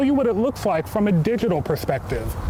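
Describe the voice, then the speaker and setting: Against noticeable background noise, a man talks at a fairly quick pace in a high pitch. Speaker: television news reporter. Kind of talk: live TV news standup.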